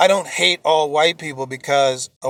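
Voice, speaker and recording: On a very clean recording with a silent background, a man's voice sounds dry and close with no echo. His pitch is fairly high, with ordinary variation. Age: 60s. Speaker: homeless man telling his story. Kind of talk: personal testimony vlog. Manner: impassioned.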